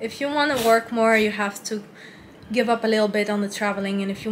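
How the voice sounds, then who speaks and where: This woman has a non-native accent. She speaks very fast. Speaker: travel vlogger. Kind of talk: casual vlog talk to camera.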